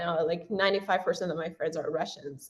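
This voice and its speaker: A woman speaks with a Persian accent over a quiet background. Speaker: university student and language content creator. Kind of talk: interview.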